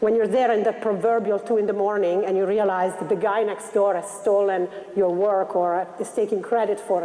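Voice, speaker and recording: Someone with an Italian accent talks at a fairly quick pace with fairly even intonation, over noticeable background noise. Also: woman. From Italy, Milan. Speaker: investment banker. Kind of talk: motivational talk.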